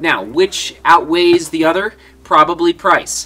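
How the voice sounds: Fairly high pitch from a man, bright and sharp in tone with a slightly husky edge, a fairly slow pace and ordinary pitch variation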